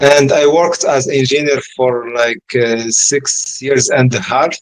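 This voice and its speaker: A man with an Arabic accent, medium pitch, fairly even intonation and a very slow pace. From Morocco. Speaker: engineer turned entrepreneur. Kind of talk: interview. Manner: halting, many fillers and repetitions.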